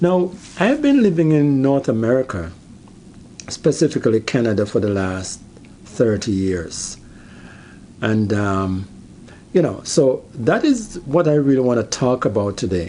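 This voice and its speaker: A man at medium pitch speaks with a Jamaican accent, his tone dark and mellow. His pitch swings very widely, and he takes long, frequent pauses. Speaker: YouTuber. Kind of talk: personal vlog monologue. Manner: halting, many fillers.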